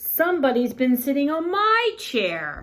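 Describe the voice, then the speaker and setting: A woman's high, put-on character voice with very wide pitch swings at a fairly slow pace. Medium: read story.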